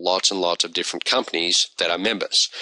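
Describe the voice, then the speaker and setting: A man with an Australian accent and a bright, sharp tone. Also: dry, close sound with no echo. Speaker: online business reviewer. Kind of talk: video review monologue. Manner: casual.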